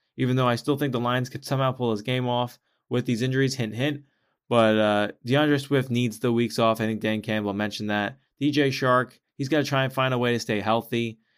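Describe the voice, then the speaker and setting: A man's medium-pitched voice, fairly even in intonation, is captured on a very clean recording with a silent background. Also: fairly quick pace. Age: 20s. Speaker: sports podcast host. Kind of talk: solo sports commentary podcast. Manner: halting, frequent repetitions and fillers.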